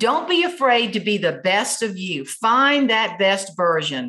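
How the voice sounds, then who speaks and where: A woman in a South Carolina accent, fairly high in pitch with very wide pitch swings, a bright, sharp tone and a fairly slow pace. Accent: Southern US (South Carolina). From US South, South Carolina tomato farm. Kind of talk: interview.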